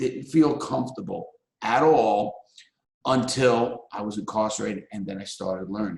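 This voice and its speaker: A man with a New York accent at a fairly slow pace. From New York City (Bronx and Brooklyn). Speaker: ex-convict and public speaker. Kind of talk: talk to a live audience.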